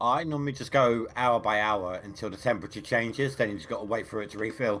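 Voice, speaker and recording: A man with an English accent at a very fast pace. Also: medium pitch for a man, ordinary pitch variation. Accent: English accent, described as very cool. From England. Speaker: fellow gamer on voice chat. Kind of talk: casual gaming chat.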